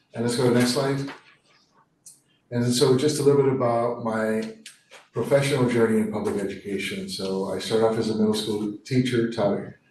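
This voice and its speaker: Against audible room echo, a man with a Spanish accent speaks at a medium pitch and a moderate pace. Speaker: school superintendent. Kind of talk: formal presentation at a board meeting. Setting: public board meeting. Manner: casual and warm, with fillers.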